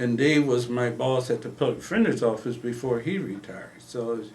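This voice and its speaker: This man has a normal speaking voice with an American accent. He talks at a moderate pace with ordinary pitch variation. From Illinois, Quincy. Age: 60s. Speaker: retired police officer and investigator. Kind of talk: casual interview conversation.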